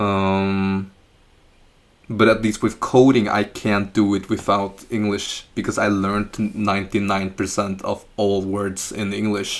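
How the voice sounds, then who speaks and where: Here a man speaks with a fairly low pitch at a fairly slow pace. His intonation is monotone and flat. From Norway. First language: Chinese and Norwegian. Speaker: live streamer doing coding practice. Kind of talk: live stream chat while coding. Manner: halting, with fillers and restarts.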